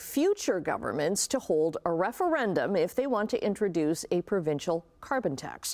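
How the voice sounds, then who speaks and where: A woman speaks at a fairly quick pace in a normal speaking voice of medium pitch. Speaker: morning show host. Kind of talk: morning TV news show banter. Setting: TV studio.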